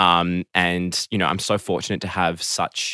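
With an Australian accent, a man speaks in a very deep, low pitch and a bright, sharp tone, recorded dry and close with no echo, very clean, with a silent background. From Melbourne, Australia. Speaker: guest. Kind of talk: casual interview chat. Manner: hesitant, filler-heavy.

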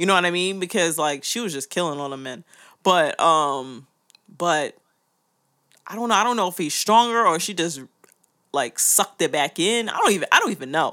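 Fairly quick speech broken by long, frequent pauses, in a very clean recording with a silent background. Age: 20s. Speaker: podcast co-host. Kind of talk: casual chat.

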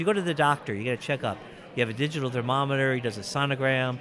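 With ordinary pitch variation and a fairly high pitch, this man's voice comes through over noticeable background noise. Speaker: physics professor and convention guest of honor. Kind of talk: interview.

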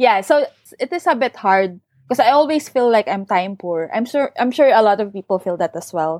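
In a dry, close sound with no echo, a woman speaks at a fairly high pitch with very wide pitch swings. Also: moderate pace. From Philippines, Bulacan. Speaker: novelist. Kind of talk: interview.

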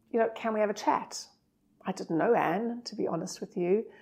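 At a moderate pace and with ordinary pitch variation, the voice carries a dark, mellow tone. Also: woman. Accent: South African. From South Africa. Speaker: hotel marketing director. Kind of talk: casual interview chat. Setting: hotel suite.

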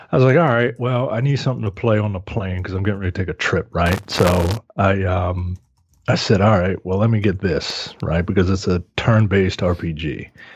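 Somewhat breathy, a man talks at a fairly low pitch with ordinary pitch variation. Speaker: podcast co-host. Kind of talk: casual chat.

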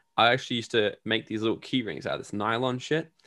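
At a fairly quick pace, a man talks with an Australian accent at a medium pitch. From Australia, Gold Coast. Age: 20s. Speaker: entrepreneur and podcaster. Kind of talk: interview.

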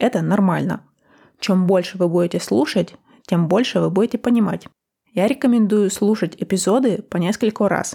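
On a very clean recording with a silent background, a woman talks at a medium pitch with a dark, mellow tone and ordinary pitch variation. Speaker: language-learning podcast host. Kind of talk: scripted podcast trailer. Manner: clear, deliberate pace for learners.

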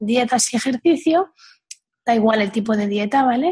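A woman at a high pitch, at a moderate pace. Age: 40s. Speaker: weight coach. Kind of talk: interview conversation. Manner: hesitant, repeats words.

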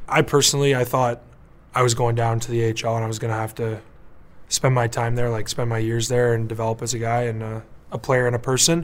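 A man with a Canadian accent speaks very fast at a medium pitch. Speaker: professional hockey player. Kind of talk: interview. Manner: animated.

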